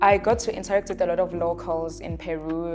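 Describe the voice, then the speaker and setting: Over music in the background, a woman speaks at a moderate pace. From South Africa. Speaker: travel content creator. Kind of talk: casual talk to camera.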